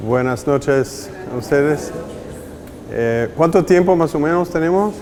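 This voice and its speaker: The speaker has a non-native accent and talks fairly slowly, with ordinary pitch variation. Noticeable background noise can be heard. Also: man, fairly high pitch for a man. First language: not Spanish; Spanish is fifth language (speaking Spanish). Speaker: spiritual director teacher. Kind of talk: lecture.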